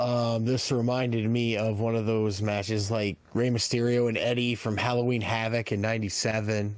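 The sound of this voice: A man at a moderate pace, his tone slightly mellow.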